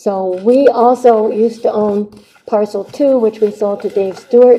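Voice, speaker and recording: A woman speaks at medium pitch, and her pitch varies an ordinary amount. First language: Navajo. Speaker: rancher giving public testimony. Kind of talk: public hearing testimony. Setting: county board hearing room.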